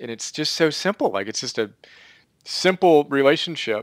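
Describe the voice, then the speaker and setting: With an enthusiastic tone, a man speaks at a moderate pace with ordinary pitch variation, recorded dry and close with no echo on a very clean, silent background. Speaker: interview host. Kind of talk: interview.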